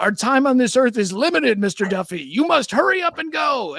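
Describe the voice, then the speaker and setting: A man puts on a character voice at an extremely high pitch, talking at a fairly quick pace over light background noise. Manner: stern, admonishing.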